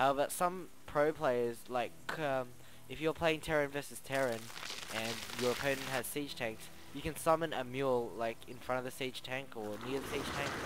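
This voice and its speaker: A man with a medium-pitched voice talks at an even, moderate speed, his intonation fairly level, while noticeable noise runs in the background. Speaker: game commentator. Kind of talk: live commentary. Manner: mumbling.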